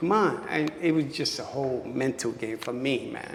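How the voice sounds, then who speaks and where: Noticeable background noise and audible room echo surround a man's voice. He has a fairly high pitch, ordinary pitch variation and a moderate pace. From New York City (Bushwick, Brooklyn). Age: 60s. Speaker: dancer. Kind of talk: interview. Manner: animated.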